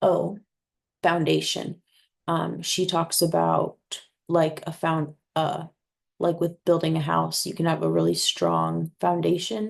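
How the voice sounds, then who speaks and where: Long, frequent pauses break up a woman's speech, which moves at a very slow pace. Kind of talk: class presentation to camera. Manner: hesitant, with fillers and repetitions.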